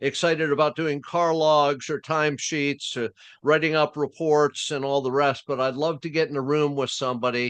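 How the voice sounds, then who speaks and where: Against a quiet background, a man with an unremarkable speaking voice talks at a moderate pace and fairly high pitch, the sound dry and close with no echo. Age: 60s. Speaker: retired FBI agent and interrogation trainer. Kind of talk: interview. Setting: podcast.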